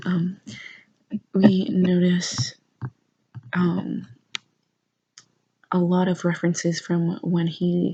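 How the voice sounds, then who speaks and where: A soft-spoken woman at a fairly low pitch, with a dark, mellow tone, a somewhat breathy quality, monotone, flat intonation, a very slow pace and long, frequent pauses. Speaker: university student working on an art history paper. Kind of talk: casual talk to camera, rambling school notes. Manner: soft-spoken, lo-fi.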